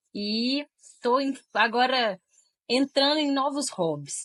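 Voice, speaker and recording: A woman speaks very slowly in a strong Minas Gerais accent. Her tone is bright and sharp, with ordinary pitch variation. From Minas Gerais, Brazil (Diamantina). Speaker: tech recruiter and career mentor. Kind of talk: interview conversation. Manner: sweet, friendly.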